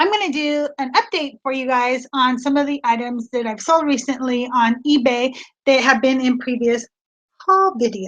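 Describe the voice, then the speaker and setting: A woman talks loudly in a high pitch with an animated tone. Her pace is moderate and her pitch varies in an ordinary way. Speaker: online reseller. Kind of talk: casual livestream chat. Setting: live video stream from home studio. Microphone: new laptop setup.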